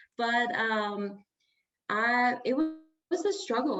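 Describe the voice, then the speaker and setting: The speaker is a woman. She has an Iranian accent. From Iran, moved to Orange County at eleven. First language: Farsi. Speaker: sound healer and life coach. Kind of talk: interview.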